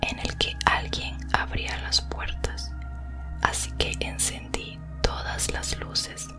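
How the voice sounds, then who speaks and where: With music in the background, a woman whispers at a very slow pace. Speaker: ASMR creator. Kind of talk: horror story reading. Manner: whispered.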